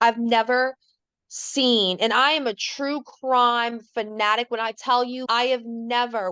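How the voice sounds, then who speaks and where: A woman speaks at a fairly high pitch. The background is quiet, and the sound is dry and close with no echo. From New Orleans, Louisiana. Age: 30s. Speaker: stay-at-home mom, trauma survivor. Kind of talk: podcast interview answer. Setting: studio. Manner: casual, candid.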